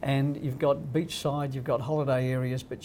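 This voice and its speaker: A man talks very fast in an Australian accent. His intonation is monotone and flat, with noticeable background noise behind him. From Australia (Crookwell, rural New South Wales). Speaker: real estate company founder. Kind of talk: casual interview.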